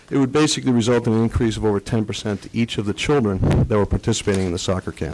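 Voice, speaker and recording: Over noticeable background noise, a man with an American accent talks at a very fast pace, his fairly low pitch showing ordinary variation and his loudness very even. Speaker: resident speaking for a nonprofit sports club. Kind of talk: public comment at council meeting. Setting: council meeting with PA mic.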